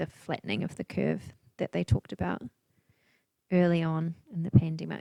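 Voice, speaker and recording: Soft-spoken, a woman talks in a dry, close sound with no echo. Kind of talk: casual talk to camera, relaxing paint and chat. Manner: soft-spoken, quiet, chilled.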